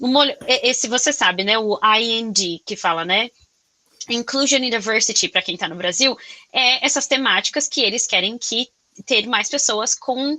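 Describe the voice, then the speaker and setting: Bright and sharp in tone, the voice carries a Brazilian accent and moves at a moderate pace. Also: woman, fairly high pitch for a woman, ordinary pitch variation. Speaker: podcast host. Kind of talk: casual interview chat. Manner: loud; animated, expressive.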